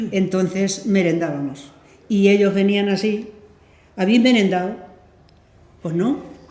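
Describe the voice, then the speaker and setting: Over noticeable background noise, a woman at a medium pitch talks at a fairly slow pace with ordinary pitch variation and long, frequent pauses. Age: 70s or 80s. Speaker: former innkeeper. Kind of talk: interview answer.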